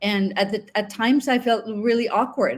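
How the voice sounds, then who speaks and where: Over a very clean recording with a silent background, a woman speaks at a moderate pace in a somewhat breathy, fairly high voice with ordinary pitch variation. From Finland. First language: Finnish. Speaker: online English teacher. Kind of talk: interview.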